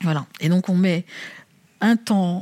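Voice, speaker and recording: A woman speaks fairly slowly in a somewhat breathy voice with fairly even intonation. The recording is very clean and silent in the background, with a dry, close sound and no echo. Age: 50s. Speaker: bank chief executive. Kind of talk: interview.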